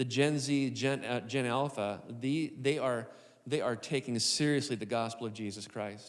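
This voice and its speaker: Audible room echo surrounds a man speaking at a medium pitch. His intonation is fairly even. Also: moderate pace. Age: 60s. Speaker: lead pastor. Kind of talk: live podcast conversation on stage. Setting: stage with live audience.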